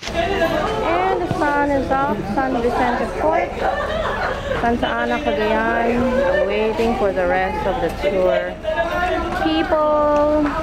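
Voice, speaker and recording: A woman speaks at a very slow pace with long, frequent pauses while crowd noise fills the background. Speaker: travel vlogger. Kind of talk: casual vlog chat. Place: waterside. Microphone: phone near.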